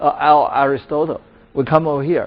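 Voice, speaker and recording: A man with a Chinese accent talks at a fairly high pitch. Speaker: professor. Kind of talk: lecture. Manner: halting, with many fillers.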